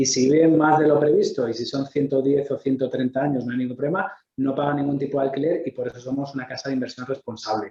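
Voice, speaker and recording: The speech rushes along at a very fast pace with hardly any pauses and fairly even intonation. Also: man, fairly high pitch for a man. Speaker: investment firm representative. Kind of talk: panel discussion.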